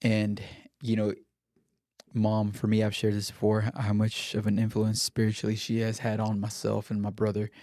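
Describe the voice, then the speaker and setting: A man with a Spanish accent talks at a moderate pace in a fairly low pitch, his tone dark and mellow. His intonation is flat and monotone, and the recording is very clean with a silent background. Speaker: podcast host. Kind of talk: casual chat.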